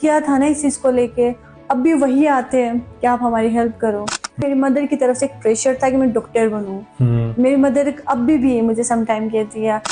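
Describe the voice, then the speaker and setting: Music plays in the background as a woman talks with a high pitch. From Nagar, Gilgit-Baltistan. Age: young. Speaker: media person, former FM radio host. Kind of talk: interview answer.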